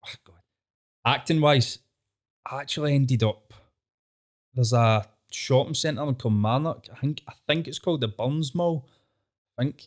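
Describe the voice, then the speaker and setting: Here a man speaks with a Glaswegian accent at a moderate pace. His pitch varies in an ordinary way, and he takes long, frequent pauses. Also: medium pitch for a man, big swings in loudness. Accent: Glaswegian Scottish. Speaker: comedy show co-creator. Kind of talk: casual interview chat. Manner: informal, laughs often.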